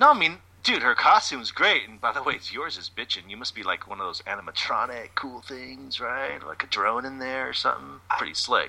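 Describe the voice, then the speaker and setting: A put-on character voice, drawling at a fairly quick pace with hardly any pauses. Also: man. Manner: smooth, drawling, laid-back.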